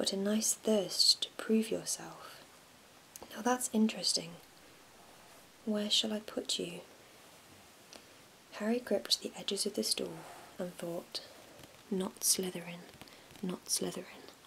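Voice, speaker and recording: A soft-spoken woman talks at a fairly slow pace, with long, frequent pauses. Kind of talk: bedtime story reading, ASMR. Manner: soft-spoken, relaxing.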